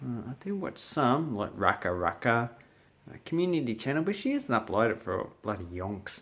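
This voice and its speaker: Very wide pitch swings from a man with an Australian accent, medium pitch, moderate pace. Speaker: English teacher. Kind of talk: casual talk to camera.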